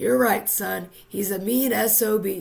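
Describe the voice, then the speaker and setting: Using a raspy put-on character voice, someone speaks at a fairly slow pace with lively intonation. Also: woman. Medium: read story.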